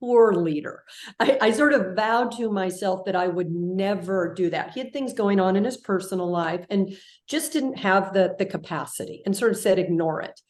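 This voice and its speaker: The speaker has an American accent and a moderate pace. Their intonation is lively. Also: woman. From California. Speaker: leadership guest, former public media broadcaster. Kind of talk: interview storytelling.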